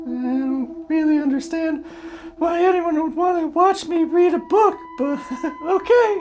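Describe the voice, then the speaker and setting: Over clear background noise, someone uses a put-on character voice at a fairly slow pace. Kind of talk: comedy sketch. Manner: hesitant, halting.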